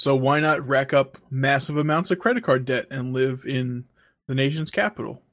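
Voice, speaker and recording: Recorded very cleanly against a silent background, a man with an unremarkable speaking voice talks at a moderate pace, his fairly high pitch showing ordinary variation. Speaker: podcast co-host. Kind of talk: casual banter podcast.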